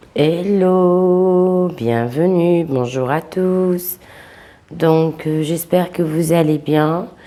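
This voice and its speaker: Speaking at a very slow pace, a woman uses a fairly low pitch and a dark, mellow tone with ordinary pitch variation. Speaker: psychic tarot reader. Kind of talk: tarot reading monologue. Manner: hesitant, many fillers.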